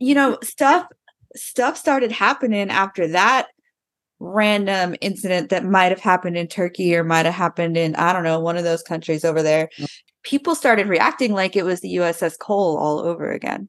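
Animated in tone, a woman with an American accent speaks at a moderate pace, her medium pitch showing ordinary variation. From Arizona. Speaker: podcast host, military veteran. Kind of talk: casual chat.

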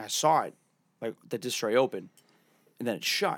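The recording is very clean, with a silent background. A man with a Boston accent talks at a medium pitch and a fairly quick pace. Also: dry, close sound with no echo. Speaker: podcast co-host. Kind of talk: casual chat. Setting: studio.

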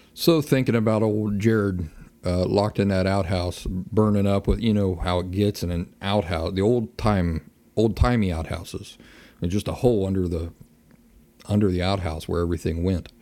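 With a relaxed tone and fairly even intonation, a man's fairly low, dark, mellow voice comes through a very clean recording with a silent background. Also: moderate pace. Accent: Appalachian. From Appalachia (US). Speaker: podcast host, outdoorsman. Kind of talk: casual monologue. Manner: relaxed, folksy.

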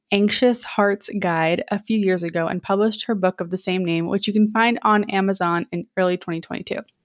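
A woman with an ordinary speaking voice talks at a moderate pace with hardly any pauses, her medium pitch fairly even in intonation and the sound dry and close with no echo. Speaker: dating coach podcast host. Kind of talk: podcast interview.

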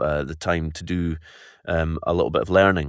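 A man with a Scottish accent speaks at a very deep, low pitch and a moderate pace. The recording is very clean, with a silent background. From Scotland. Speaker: voice actor. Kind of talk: interview. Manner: halting.

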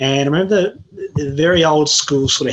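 A man speaks in an Australian accent. Noticeable background noise can be heard behind him. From Tasmania, Australia. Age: 30s. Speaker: journalist. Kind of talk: casual interview.

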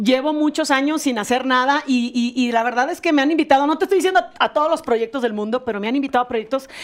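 A woman at a high pitch, very fast, with ordinary pitch variation and hardly any pauses. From Monterrey, Nuevo León, Mexico. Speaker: singer and former reality show contestant. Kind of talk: casual chat.

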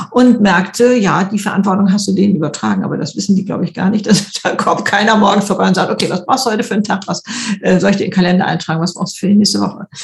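Over noticeable background noise, a woman at medium pitch talks at a very fast pace with fairly even intonation. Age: 70s. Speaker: YouTuber and author. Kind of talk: interview. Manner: hesitant fillers.

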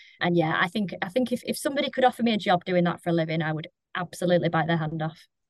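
Talking very fast in a Lancashire accent, a woman uses lively intonation in a fairly low voice, with a dry, close sound and no echo. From Lancashire, England. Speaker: in-house recruitment lead. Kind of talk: casual panel discussion. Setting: remote call.

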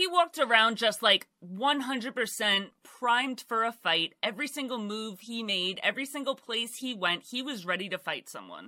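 A woman talks at a moderate pace with hardly any pauses, her pitch fairly high and her intonation lively. Her tone is warm and animated, yet bright and sharp. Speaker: true crime YouTuber. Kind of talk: true-crime documentary narration, storytelling with casual asides. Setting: YouTube video, some live streams. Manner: chatty, warm, conversational; animated, casual storytelling.

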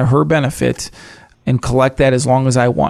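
A man with an unremarkable speaking voice talks at a fairly quick pace and medium pitch, his intonation fairly even. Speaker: financial advisor. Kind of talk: casual chat.

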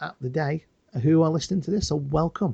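In a dry, close sound with no echo, a man's dark, mellow, somewhat breathy voice holds fairly even intonation. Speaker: podcast co-host. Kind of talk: casual chat.

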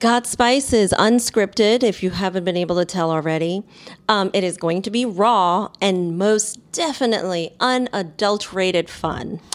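A woman with an American accent has an unremarkable speaking voice. She speaks at a moderate pace in a medium pitch, with ordinary pitch variation. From New York City. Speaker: podcast co-host, marketer and entertainer. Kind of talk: casual chat.

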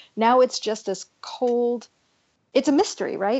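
An unremarkable speaking voice from a woman with an American accent, moving at a moderate pace with fairly even intonation. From California. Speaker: author and editor. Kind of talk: interview conversation.

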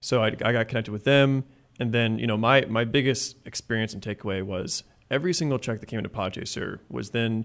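Heard in a very clean recording with a silent background, a man with an American accent and an unremarkable speaking voice talks at medium pitch with ordinary pitch variation. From Indiana. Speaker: tech startup CEO. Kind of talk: interview.

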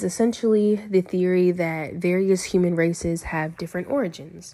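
Here a woman speaks in an ordinary speaking voice. Her pitch is medium and her pace moderate. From Virginia (Lynchburg area). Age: young. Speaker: college student. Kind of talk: class presentation, partly scripted.

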